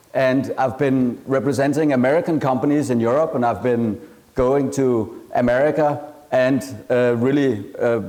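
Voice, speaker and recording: A man talks with a strong Danish accent and fairly even intonation. The recording has audible room echo and noticeable background noise. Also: very even loudness. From Denmark. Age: 40s. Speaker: entrepreneur and venture capitalist. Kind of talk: conference talk.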